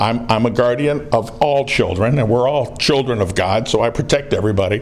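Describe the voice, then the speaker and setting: Noticeable background noise sits behind a man with an American accent who talks at a moderate pace, medium pitch, ordinary pitch variation and very even loudness. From northern US. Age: 60s. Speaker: citizen activist filming officials. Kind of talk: confrontational conversation. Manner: brash.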